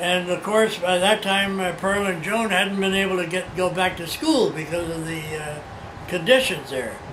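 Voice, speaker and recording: A high-pitched male voice with audible room echo and noticeable background noise. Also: ordinary pitch variation, moderate pace. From China. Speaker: oral history interviewee. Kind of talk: oral history interview. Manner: halting.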